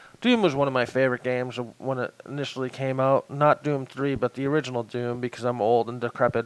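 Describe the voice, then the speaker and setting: Over noticeable background noise, a man talks at a very fast pace with hardly any pauses and monotone, flat intonation, the sound dry and close with no echo. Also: medium pitch for a man. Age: 30s. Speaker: gaming youtuber. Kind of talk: gameplay commentary. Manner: casual, self-deprecating rambling.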